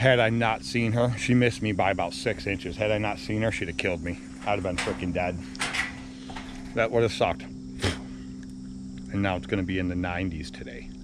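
A man at a moderate pace, in a dry recording with no echo but noticeable background noise. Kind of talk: casual vlog chat. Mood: animated, a bit shaken. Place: street. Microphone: phone near.

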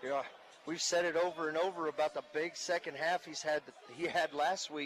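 A man with a normal speaking voice talks at a moderate pace in a fairly high pitch, and his intonation stays fairly even. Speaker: color commentator. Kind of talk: live sports commentary, analyzing plays. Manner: relaxed, conversational, explanatory, with frequent filler words.

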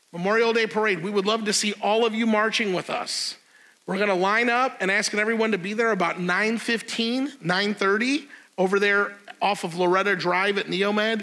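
A man's raised, projected voice, bright and sharp in tone, at a moderate pace with fairly even intonation. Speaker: pastor giving announcements. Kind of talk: church announcements. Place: church. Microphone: lapel.

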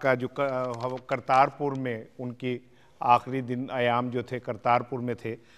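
A Pakistani accent at a very slow pace with monotone, flat intonation. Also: man. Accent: Pakistani Urdu. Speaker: TV host. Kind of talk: interview. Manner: formal. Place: studio. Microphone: lapel.

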